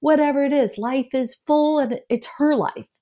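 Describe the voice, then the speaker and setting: A woman's fairly slow speech with an American accent. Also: very clean recording, silent background. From US South, Memphis. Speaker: filmmaker. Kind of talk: interview. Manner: halting, many restarts.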